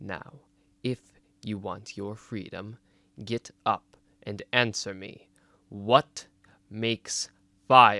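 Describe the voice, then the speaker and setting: In a put-on character voice, the speaker growls loudly at a very slow pace, with long, frequent pauses. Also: man, fairly low pitch for a man. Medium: read story. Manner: stern, growling, curt.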